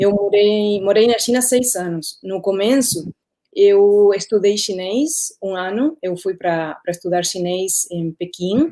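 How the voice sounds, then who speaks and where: Speaking at a very slow pace in a Spanish accent, a woman uses a dark, mellow tone at a medium pitch. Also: ordinary pitch variation. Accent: Spanish-speaker accent in Portuguese. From Uruguay. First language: Spanish (speaking Portuguese). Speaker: former radio journalist. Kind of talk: interview in a live stream. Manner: halting, searches for words.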